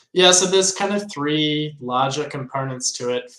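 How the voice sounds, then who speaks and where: In an Australian accent, a man speaks with a bright, sharp tone. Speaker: crypto software developer. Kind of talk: interview.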